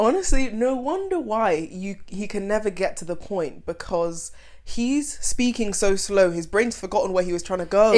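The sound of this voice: A woman's normal speaking voice, medium in pitch, with lively intonation at a moderate pace and hardly any pauses.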